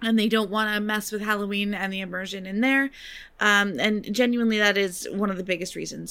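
In a very clean recording with a silent background, a woman talks at a fairly quick pace. She has a normal speaking voice at a medium pitch. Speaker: podcast co-host. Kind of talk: casual chat.

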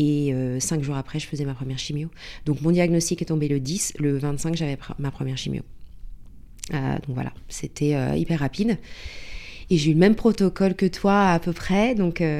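With very deep, low pitch and a dark, mellow tone, a woman speaks at a moderate pace with ordinary pitch variation and long, frequent pauses, on a very clean recording with a silent background. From Paris, France. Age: 40s. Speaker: cancer patient. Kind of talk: testimony. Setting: in person in Paris.

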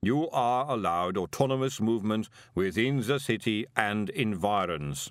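A rumbling, put-on character voice moves at a moderate pace in a very clean recording with a silent background. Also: man, medium pitch for a man.

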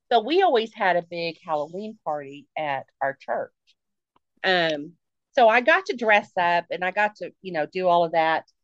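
Recorded dry and close with no echo, a woman with an ordinary speaking voice talks in a fairly low pitch with lively intonation. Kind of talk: quick comic shout-out in a horror podcast intro.

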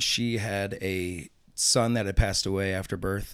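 A man with a St. Louis accent at a fairly low pitch, fairly even intonation and a fairly slow pace, on a very clean recording with a silent background. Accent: Midwestern US (St. Louis). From St. Louis area, Missouri. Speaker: tattoo artist. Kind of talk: interview storytelling. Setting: studio.

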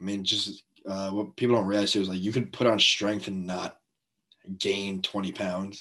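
Bright and sharp in tone, this voice with an American accent moves at a fairly slow pace with fairly even intonation over a quiet background. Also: man, fairly low pitch for a man. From North Jersey, US. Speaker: college baseball pitcher. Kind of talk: casual interview.

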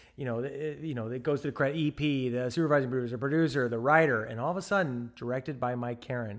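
Here a man speaks very fast with an American accent and ordinary pitch variation. The recording is very clean, with a silent background. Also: medium pitch for a man, hardly any pauses. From US Midwest, St. Louis, Missouri. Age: 40s. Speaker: television director. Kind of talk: interview conversation.

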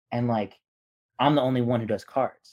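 At a moderate pace and medium pitch, a man speaks in an unremarkable speaking voice. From Eastern Washington, US. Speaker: sports card collector. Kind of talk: casual chat.

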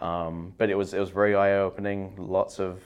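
Speaking at a moderate pace, a man with a southern English accent has a very deep, low voice. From southeast England, near London. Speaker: physical therapy assistant. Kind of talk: casual interview.

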